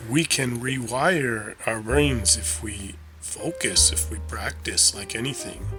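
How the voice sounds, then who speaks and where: A man's fairly low voice with a calm, soothing tone, a very slow pace, very wide pitch swings, big swings in loudness and music in the background. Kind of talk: sleep-aid talk, calm informational narration to help listeners fall asleep. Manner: calm, soothing, slow.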